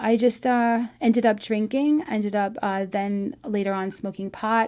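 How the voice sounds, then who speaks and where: On a very clean recording with a silent background, a woman with an American accent speaks at a fairly slow pace. Her fairly high voice has a dark, mellow tone and fairly even intonation. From New York, US. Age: 50s. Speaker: recovery show host. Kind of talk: personal testimony. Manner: halting, many fillers.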